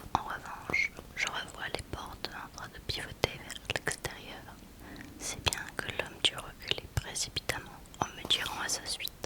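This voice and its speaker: Whispering comes through at a fairly slow pace against noticeable background noise. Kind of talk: whispered audiobook-style book reading. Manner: whispered, soft.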